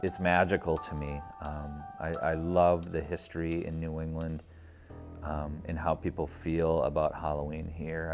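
With clear music in the background, a man speaks at a very deep, low pitch and moderate pace, his intonation fairly even. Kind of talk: interview answer. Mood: warm, grateful, reflective. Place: studio. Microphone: lapel.

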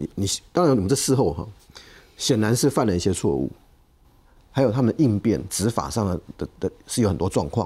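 A man with a fairly low pitch and a dark, mellow tone speaks at a fairly quick pace, with vocal fry, very wide pitch swings and long, frequent pauses. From Taiwan, Taichung; Taiwan. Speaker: political commentator. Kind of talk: TV panel discussion. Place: studio. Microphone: lapel.

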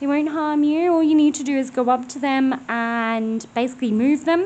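A woman speaks at a fairly slow pace in a high voice with ordinary pitch variation. Light background noise is audible. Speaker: ghost hunting vlogger. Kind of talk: casual vlog chat. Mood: quiet, eerie, relaxed. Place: open country. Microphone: phone near.

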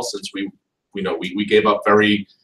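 Audible room echo accompanies speech at a fairly quick pace. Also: man. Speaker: lawyer presenting a talk. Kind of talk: lecture. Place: classroom. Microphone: camera far.

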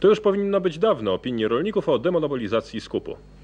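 A man's voice with very wide pitch swings at a fairly quick pace. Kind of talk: 1980s TV news broadcast, headlines and sign-off. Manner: formal, crisp, neutral anchor delivery.

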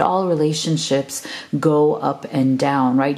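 A woman's voice amid noticeable background noise. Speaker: tarot reader. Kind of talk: tarot reading to camera. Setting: video channel, recorded alone. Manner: warm, affectionate.

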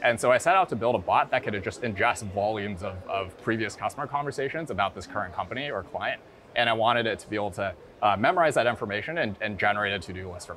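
Music plays behind a man with a fairly low voice who talks at a very fast pace, his loudness swinging widely and his pitch varying in an ordinary way. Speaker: guest. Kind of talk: interview answer. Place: hall. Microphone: lapel.

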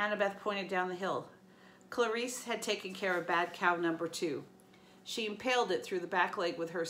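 Someone is reading aloud in a natural voice, with ordinary pitch variation.

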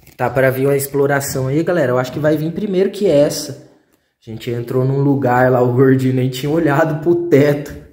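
His delivery is fairly quick. The man keeps his intonation fairly level. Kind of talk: casual vlog chat. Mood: amused, joking. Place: empty room. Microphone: phone near.

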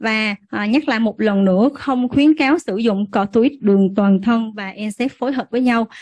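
A woman with a fairly high, somewhat breathy voice talks at a fairly slow pace with hardly any pauses and ordinary pitch variation, the sound dry and close with no echo over a quiet background. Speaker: physician. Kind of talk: medical lecture. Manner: halting, many filler sounds; formal.

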